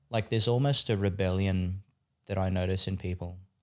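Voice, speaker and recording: On a very clean recording with a silent background, a man with an Australian accent speaks at a fairly low pitch. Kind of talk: casual podcast interview. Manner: animated, with many fillers and restarts.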